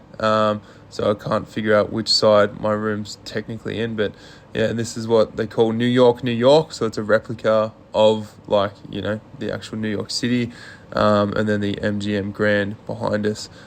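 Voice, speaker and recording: A man speaks in an Australian accent at a moderate pace. His fairly low voice stays monotone and flat. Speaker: vlogger, male revue performer. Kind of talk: travel vlog narration. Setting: outdoors walking the strip. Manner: casual, filler-heavy.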